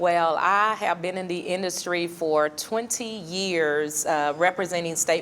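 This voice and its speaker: Here a woman speaks in a Southern US accent. Her pitch is fairly low, her pace fairly slow, her intonation fairly even. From US South, Newport, Arkansas. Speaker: insurance agent. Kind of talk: interview.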